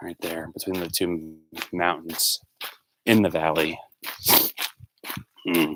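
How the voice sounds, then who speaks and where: A man's very deep, low voice at a very slow pace, with monotone, flat intonation and long, frequent pauses. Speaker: livestreamer. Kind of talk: casual chat. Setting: outdoors. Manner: loud.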